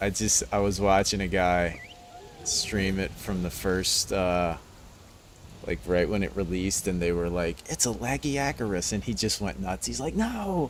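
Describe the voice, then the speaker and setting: A man with a very deep, low voice talks at a fairly slow pace. His intonation is lively. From New Orleans, Louisiana. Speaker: gaming streamer. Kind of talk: live gameplay commentary. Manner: casual, rambling.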